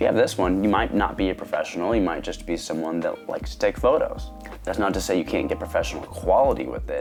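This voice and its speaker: A man speaks at a very fast pace over music in the background. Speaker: photography YouTuber. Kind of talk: casual talk to camera. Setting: lapel mic.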